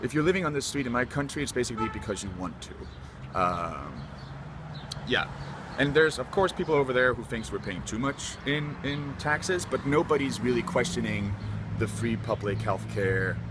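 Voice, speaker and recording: A man at a moderate pace with very wide pitch swings, amid noticeable background noise. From Denmark. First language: Danish. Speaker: student. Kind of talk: street interview.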